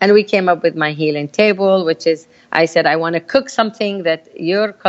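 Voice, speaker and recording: A woman speaks at a moderate pace with a Palestinian accent. The sound is dry and close, with no echo. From Palestine, village. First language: Arabic. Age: 50s. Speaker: community activist. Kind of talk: interview. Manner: animated.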